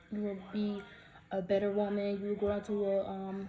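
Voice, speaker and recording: A woman with an American accent at a medium pitch, talking at a fairly quick pace, with audible room echo and noticeable background noise. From US South, Atlanta, Georgia. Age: 20s. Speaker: vlogger. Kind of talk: casual storytime vlog. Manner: fast; animated.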